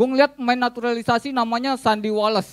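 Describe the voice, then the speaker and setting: Against a quiet background, a man with a Jakarta accent speaks at an extremely high pitch with ordinary pitch variation. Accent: Jakarta Betawi-flavored Indonesian. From Jakarta, Indonesia. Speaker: stand-up comedian. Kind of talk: stand-up comedy. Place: cafe. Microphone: handheld.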